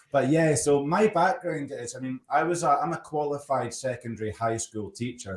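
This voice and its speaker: Noticeable background noise sits behind a man with a Scottish accent. He talks at a moderate pace with medium pitch and lively intonation. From Scotland. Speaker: storyteller and LinkedIn coach. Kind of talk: casual interview chat.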